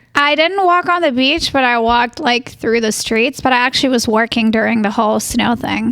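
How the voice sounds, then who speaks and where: Speaking high at a fairly quick pace, a woman keeps very even loudness, hardly any pauses, and ordinary pitch variation. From Germany. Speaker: entrepreneur, hair extensionist. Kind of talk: casual chat.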